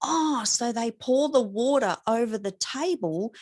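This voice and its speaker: A woman with an Australian accent, a high pitch, an animated tone and very wide pitch swings, in a dry, close sound with no echo. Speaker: podcast host. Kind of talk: casual chat.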